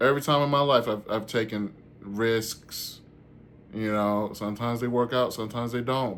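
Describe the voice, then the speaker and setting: The intonation stays fairly even as a man talks. He keeps a moderate pace. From US South, Georgia (Warner Robins). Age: 40s. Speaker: stand-up comedian and vlogger. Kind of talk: casual vlog chat.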